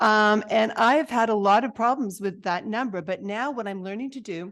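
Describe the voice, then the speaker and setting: Against a quiet background, a woman speaks at a medium pitch with lively intonation. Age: 60s. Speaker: podcast host. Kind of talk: casual chat. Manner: animated.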